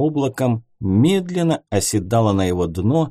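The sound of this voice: The voice reads in an unforced way.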